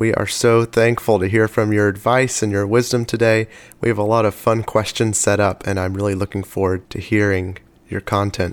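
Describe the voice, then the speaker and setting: A man's monotone, flat voice on a very clean recording with a silent background. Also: fairly low pitch for a man, moderate pace. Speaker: podcast host. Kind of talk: interview.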